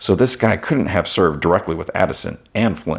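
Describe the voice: Lively intonation marks the delivery. It is plain reading aloud.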